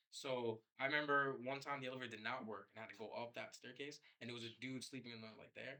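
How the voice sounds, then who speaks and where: A man with a New York accent talks at a very fast pace in a bright, sharp tone and medium pitch. His intonation is monotone and flat, with big swings in loudness. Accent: New York City. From New York City (Queens). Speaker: filmmaker. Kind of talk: casual interview.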